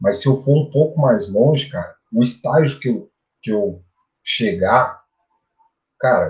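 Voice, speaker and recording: Somewhat breathy speech at a fairly slow pace, lively in intonation, broken by long, frequent pauses. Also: man. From Brazil, Minas Gerais interior (Araxá). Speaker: bitcoin analyst and physical educator. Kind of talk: casual interview chat.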